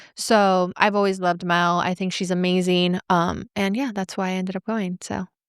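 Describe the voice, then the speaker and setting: In a very clean recording with a silent background and a dry, close sound with no echo, a woman speaks in a flat monotone with hardly any pauses. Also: medium pitch for a woman, moderate pace. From Venezuela, moved to US at eight. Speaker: podcast host and entrepreneur. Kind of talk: casual interview chat.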